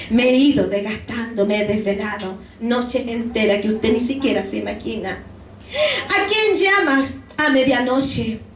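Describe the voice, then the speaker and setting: Amid noticeable background noise and audible room echo, a woman speaks at a fairly slow pace with a fairly high pitch and ordinary pitch variation. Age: 70s. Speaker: pastor. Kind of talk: sermon.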